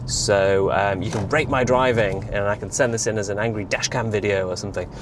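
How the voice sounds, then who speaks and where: Against noticeable background noise and audible room echo, a man with a fairly low pitch talks at a fairly quick pace with ordinary pitch variation. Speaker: EV vlogger. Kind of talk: casual vlog monologue. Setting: in a car. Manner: fast; hesitant, many fillers.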